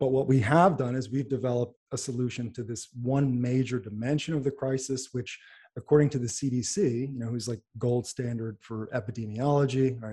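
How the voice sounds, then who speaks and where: The speaker has an American accent and a dark, mellow tone with a somewhat breathy quality. Intonation stays fairly even, with hardly any pauses. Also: man. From New York / New Jersey area. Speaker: neurologist and pharmaceutical company founder. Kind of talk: interview.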